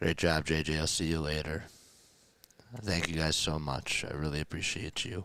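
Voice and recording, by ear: In a put-on character voice that is hoarse and raspy, the speaker goes at a moderate pace with fairly even intonation and long, frequent pauses. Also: man, very deep, low pitch for a man.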